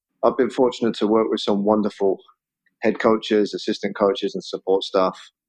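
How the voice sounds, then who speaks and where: A man with a southern English accent speaks at a fairly quick pace, his pitch fairly low and his intonation fairly even. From England, Oxford. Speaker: football head coach. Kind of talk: interview.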